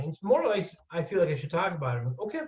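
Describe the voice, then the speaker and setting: A man talks, his pitch varying in an ordinary way. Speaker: college admissions counselor. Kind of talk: webinar presentation. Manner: fast.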